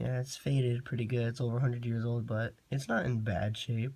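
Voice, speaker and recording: The speaker is a man with a somewhat breathy, medium-pitched voice. He keeps a moderate pace and fairly even intonation. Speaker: coin collector YouTuber. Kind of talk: casual show-and-tell video. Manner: casual, hesitant.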